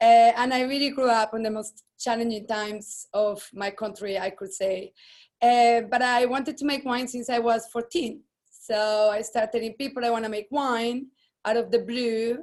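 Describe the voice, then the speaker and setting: At a moderate pace, a woman talks with a Colombian accent. Her fairly high voice keeps a fairly even intonation. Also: quiet background. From Colombia, Medellin. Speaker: winemaker. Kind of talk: personal introduction to media.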